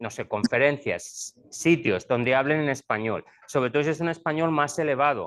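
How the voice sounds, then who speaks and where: In a Spanish accent, a man talks with a fairly high pitch. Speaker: school administrator, former teacher. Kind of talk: presentation to parents.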